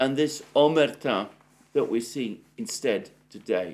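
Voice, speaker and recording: A man's very slow speech in a British accent, fairly high in pitch with vocal fry. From Britain. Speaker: political commentator. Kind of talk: solo news analysis monologue. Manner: hesitant with frequent fillers; formal. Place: home room.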